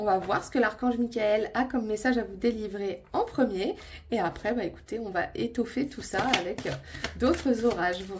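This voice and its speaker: A woman's fairly high pitch at a moderate pace, with ordinary pitch variation, over noticeable background noise. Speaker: tarot and oracle card reader. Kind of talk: intuitive card reading monologue to viewers. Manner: calm, settled; hesitant, many filler sounds.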